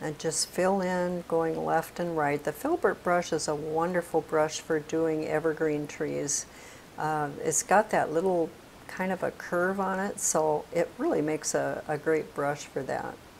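Low-pitched and with vocal fry, a woman talks at a fairly slow pace in a slightly mellow tone and fairly even intonation.

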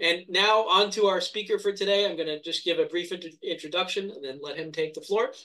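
Against a quiet background, a man's raised, projected voice comes across high-pitched and bright, sharp in tone, moving at a fairly quick pace with fairly even intonation. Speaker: event host. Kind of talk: formal introduction and Q&A moderation. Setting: video call. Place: home room. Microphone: webcam.

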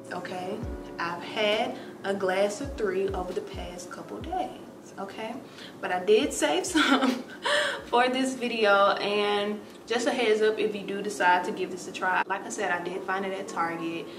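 Music in the background, with a moderate pace and ordinary pitch variation. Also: woman. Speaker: lifestyle vlogger. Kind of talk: casual vlog chat. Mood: relaxed, light laughter. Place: home room. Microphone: camera far.

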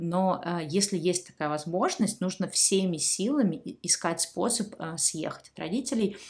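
A woman with a somewhat breathy voice speaks at a fairly slow pace and a medium pitch against a quiet background. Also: ordinary pitch variation, hardly any pauses. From Saint Petersburg, Russia. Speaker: YouTube blogger answering viewer questions. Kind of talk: casual monologue, advice to viewers. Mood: calm, subdued, reflective. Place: home room.

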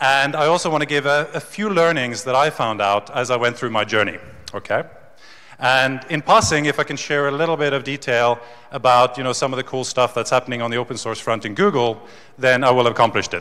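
A man is talking. He goes very fast against a quiet background. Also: ordinary pitch variation. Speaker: conference speaker. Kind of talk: keynote talk. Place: hall. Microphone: handheld.

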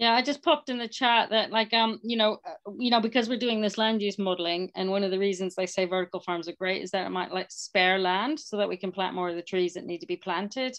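Here a woman with a medium pitch talks at a fairly quick pace, her tone fairly bright and her intonation fairly even.

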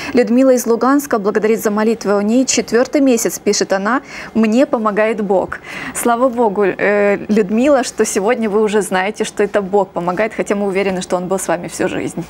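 Light background noise sits under a woman speaking at a moderate pace, her fairly high pitch showing ordinary variation. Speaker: TV prayer program co-host. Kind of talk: live religious broadcast with prayers. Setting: TV studio, live broadcast. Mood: warm, compassionate. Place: studio.

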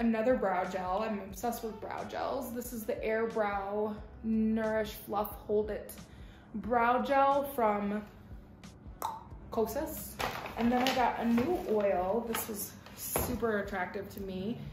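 A woman at a very slow pace, with audible room echo and faint background music. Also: fairly even intonation. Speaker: lifestyle vlogger. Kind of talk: casual haul vlog chat. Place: home room. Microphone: camera far.

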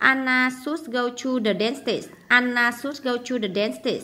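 With a bright, sharp tone, a woman speaks at a fairly high pitch with ordinary pitch variation. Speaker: English teacher. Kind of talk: tutorial. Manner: hesitant, many fillers.

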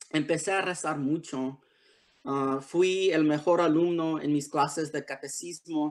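A man with an English accent, very slow pace and monotone, flat intonation against a quiet background. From Los Angeles area, US (born Tijuana, Mexico); Los Angeles. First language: English (speaking Spanish). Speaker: author. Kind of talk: prepared essay read aloud. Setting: video call. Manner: halting, many fillers. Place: home room. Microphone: video call.

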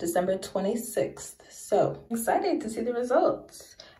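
Against a quiet background with audible room echo, a woman speaks in a dark, mellow tone that is somewhat breathy. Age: 20s. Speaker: beauty vlogger. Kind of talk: casual vlog talk to camera. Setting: home bathroom. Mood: relaxed, upbeat. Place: bathroom. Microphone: phone near.

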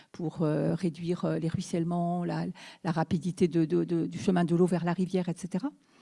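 Against a quiet background, a woman talks at a moderate pace in a fairly low, somewhat breathy voice with a dark, mellow tone. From Brittany, France. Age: 60s. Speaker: mayor. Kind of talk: panel discussion talk. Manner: halting. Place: hall. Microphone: handheld.

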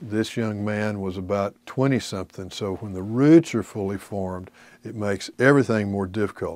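This is a normal speaking voice, at a moderate pace with ordinary pitch variation. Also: man. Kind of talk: lecture. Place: studio.

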